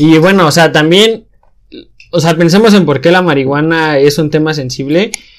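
Moderate pace and ordinary pitch variation from a man, a normal speaking voice pitched fairly high. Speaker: podcast host; engineering student. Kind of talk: casual chat.

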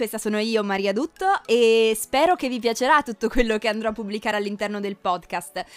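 Speaking at a fairly quick pace with hardly any pauses, a woman has a fairly high pitch and a plain, everyday voice. The sound is dry and close, with no echo. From Piedmont, Italy (Cuneo). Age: 20s. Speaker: podcast host, psychology student. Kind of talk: casual monologue. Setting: home recording.

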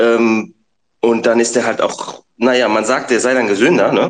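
A man's voice at a medium pitch. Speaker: bitcoin YouTuber. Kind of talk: casual chat.

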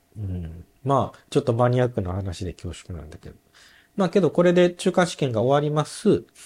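On a very clean recording with a silent background, a man talks at a fairly quick pace and medium pitch, somewhat breathy. His pitch swings very widely and his loudness swings a lot. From Japan, Nagoya. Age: 30s. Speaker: orthopedic shoemaker apprentice. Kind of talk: casual chat.

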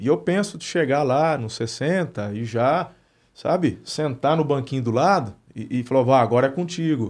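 A man talks in a plain, everyday voice at medium pitch, with lively intonation and a fairly slow pace. The background is quiet. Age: 40s. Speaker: pastor and podcast host. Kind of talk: casual interview chat.

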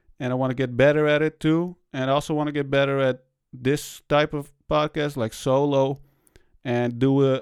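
With a non-native accent, a man talks with fairly even intonation. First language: not English. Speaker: podcast host. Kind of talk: solo podcast monologue. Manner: casual, halting with fillers.

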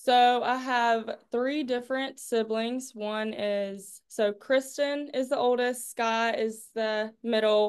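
In a Southern US accent, a woman with a high-pitched voice speaks at a very slow pace against a quiet background. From North Carolina, Clinton. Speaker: college pole vaulter. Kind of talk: interview.

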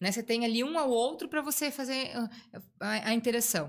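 A woman speaks at a fairly quick pace in a fairly high pitch. Her voice is somewhat breathy. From Blumenau, Santa Catarina, southern Brazil. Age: 40s. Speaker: hospital clown volunteer. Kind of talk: casual interview.

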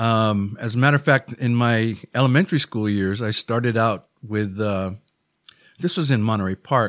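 A man with a Hawaiian accent at medium pitch, fairly slow pace and ordinary pitch variation, in a very clean recording with a silent background and a dry, close sound with no echo. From Hawaii (Honolulu, Oahu). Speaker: musician in addiction recovery. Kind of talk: interview. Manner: halting.

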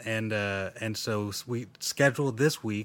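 The speaker has a plain, everyday voice and a fairly slow pace. The recording is very clean, with a silent background. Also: man. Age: 30s. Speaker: podcast host. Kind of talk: casual chat.

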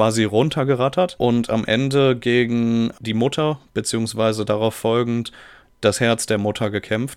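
Using a normal speaking voice, a man speaks at a fairly slow pace with medium pitch and fairly even intonation. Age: 20s. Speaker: podcast guest. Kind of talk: casual chat.

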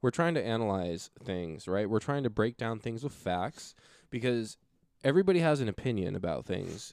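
A man's voice at medium pitch with lively intonation, a normal speaking voice. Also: moderate pace, very clean recording, silent background. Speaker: podcast host. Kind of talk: casual chat. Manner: casual, profane, chatty.

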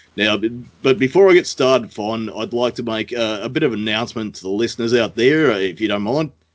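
Speaking at a fairly quick pace, a man with an Australian accent keeps to a medium pitch. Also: ordinary pitch variation. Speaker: podcast host. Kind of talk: casual chat.

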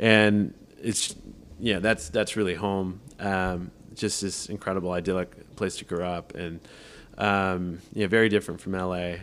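The delivery is fairly slow, in a monotone, flat intonation. The recording is very clean, with a silent background. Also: man, very deep, low pitch for a man. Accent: Californian. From Southern California. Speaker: film producer. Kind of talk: casual interview.

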